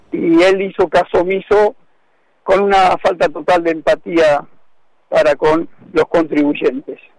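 In a dry, close sound with no echo, a man with a high pitch speaks fairly slowly at very even loudness, leaving long, frequent pauses. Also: ordinary pitch variation. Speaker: union delegate. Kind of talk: radio interview.

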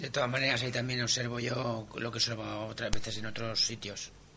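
A man speaks at a fairly quick pace in a monotone, flat intonation. The recording carries audible room echo and noticeable background noise. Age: 50s. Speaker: mountaineer. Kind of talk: interview.

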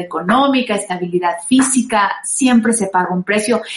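A woman with a Mexican accent speaks at a moderate pace. Her fairly high voice shows ordinary pitch variation. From Mexico, San Luis Potosí. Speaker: radio host and singer. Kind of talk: casual talk show with advice.

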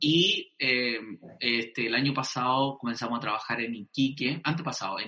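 Fairly even intonation marks this man's speech. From Chile. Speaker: pastor. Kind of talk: casual interview.

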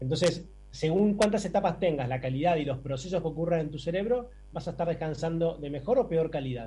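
Fairly quick in pace, a man with a high pitch and a dark, mellow tone speaks with ordinary pitch variation. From Argentina, Buenos Aires. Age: 40s. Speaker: sleep medicine doctor. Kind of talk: interview.

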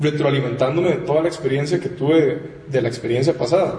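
A man with a fairly high pitch and ordinary pitch variation is heard with audible room echo and noticeable background noise. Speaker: audiovisual producer, studio co-founder. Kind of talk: casual chat. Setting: studio.

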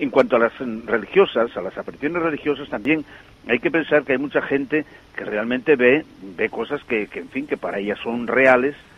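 Over noticeable background noise, a man speaks at a fairly quick pace with medium pitch and ordinary pitch variation. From Asturias, Spain. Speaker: parish priest. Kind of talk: interview. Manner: halting, repeats words.

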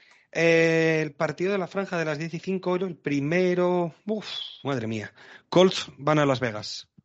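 A man talks at a very slow pace with a high pitch and ordinary pitch variation. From Spain, Madrid. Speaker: NFL podcast host. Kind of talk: casual chat.

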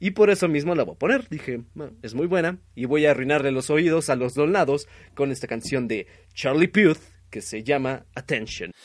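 Against a quiet background, a man talks with a Mexican accent. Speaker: internet radio host. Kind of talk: casual late-night radio show with music. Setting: home broadcast over internet.

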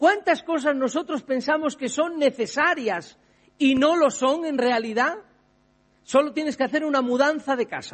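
In a Spanish accent, a man speaks fairly slowly at an extremely high pitch. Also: ordinary pitch variation. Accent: Peninsular Spanish. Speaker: pastor. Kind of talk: sermon.

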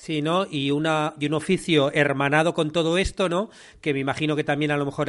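Against a quiet background, a man with a Spanish accent talks at a fairly quick pace, fairly high in pitch with fairly even intonation. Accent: Peninsular Spanish. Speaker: podcast host and screenwriting teacher. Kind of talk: interview conversation.

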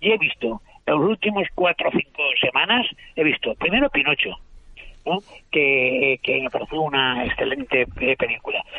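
A man speaking at a moderate pace. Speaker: writer and literary critic. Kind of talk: panel discussion.

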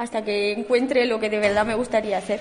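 A woman with a Romanian accent speaks over noticeable background noise. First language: Romanian (speaking Spanish). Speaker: immigrant student. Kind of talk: radio interview.

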